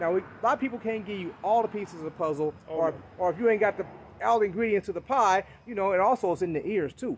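At a very fast pace, a man talks with a high pitch over light background noise. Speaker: motorcycle enthusiast vlogger. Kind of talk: casual vlog chat. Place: street. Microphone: phone near.

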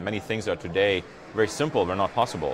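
Noticeable background noise sits under a man speaking at a very fast pace. His pitch is fairly low, with ordinary pitch variation. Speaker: tech startup founder. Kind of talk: live event interview. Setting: live stream from conference floor. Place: hall. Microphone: lapel.

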